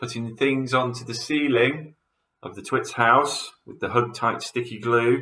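In an unforced reading voice, the speaker keeps a fairly even intonation over a quiet background.

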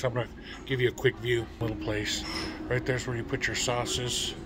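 A man's monotone, flat delivery at a fairly quick pace, with noticeable background noise. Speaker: food vlogger. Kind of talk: casual vlog chat. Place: cafe. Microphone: phone near.

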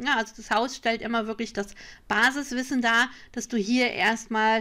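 A woman's bright, sharp tone at a moderate pace on a very clean recording with a silent background. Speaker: online shop owner and card reading teacher. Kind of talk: screen-share tutorial. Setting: screen recording.

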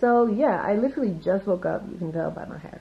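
A croaky put-on character voice rushes along at a very fast pace, its loudness swinging widely. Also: woman, medium pitch for a woman. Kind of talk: casual vlog chat.

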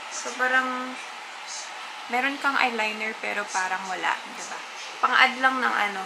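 Noticeable noise sits behind the voice. The woman talks at a moderate pace. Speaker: beauty vlogger. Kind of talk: casual makeup tutorial chat. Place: home room. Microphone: camera far.

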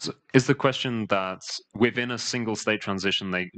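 At a fairly quick pace, a man speaks in a fairly bright tone with ordinary pitch variation.

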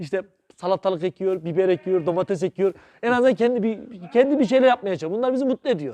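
Here a man speaks at a very fast pace with a high pitch. His tone is dark and mellow, his intonation lively. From Central Anatolia, Sivas (Şarkışla). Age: 30s. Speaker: district agriculture director and veterinarian. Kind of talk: interview, informational explanation.

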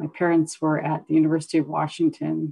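The speaker has an Alaskan accent. The background is quiet. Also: woman. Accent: Alaskan American English. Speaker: corporate lawyer and executive; corporate lawyer. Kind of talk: panel discussion. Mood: calm, reflective. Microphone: video call.

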